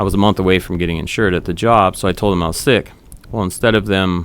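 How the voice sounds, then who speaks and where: A man talks at a very fast pace. His pitch is very deep and low. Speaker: entrepreneur. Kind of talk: casual interview. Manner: casual, filler-heavy; speaks loosely.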